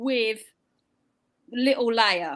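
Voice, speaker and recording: A woman with a British accent speaks at a very slow pace, her pitch swinging very widely. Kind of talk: casual chat.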